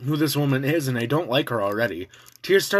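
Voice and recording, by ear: Someone is reading aloud in a natural voice, with pitch that moves in an ordinary way.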